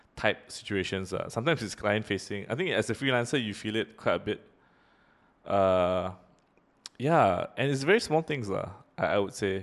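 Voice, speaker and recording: Against a quiet background, a man with a fairly low pitch speaks with long, frequent pauses. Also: lively intonation, moderate pace. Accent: Singaporean. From Singapore. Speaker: podcast host. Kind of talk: casual chat.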